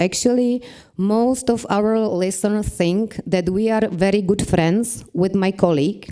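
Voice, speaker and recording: A woman with a non-native accent, at a fairly slow pace, with ordinary pitch variation. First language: Czech. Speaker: podcast creator and marketing manager. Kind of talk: conference presentation.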